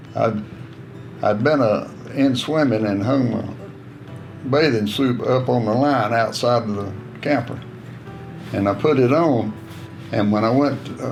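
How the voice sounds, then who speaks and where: Music plays in the background as a man with a Southern US accent and medium pitch speaks at a fairly slow pace with long, frequent pauses. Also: ordinary pitch variation. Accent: Southern American. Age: 80s+. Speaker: war veteran. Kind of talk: interview answer. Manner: reminiscing, folksy storytelling.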